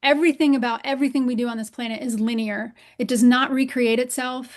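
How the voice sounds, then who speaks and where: Against a quiet background, a woman talks at a high pitch and a fairly quick pace in a monotone, flat intonation. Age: 50s. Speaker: writer working on a book. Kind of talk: casual chat.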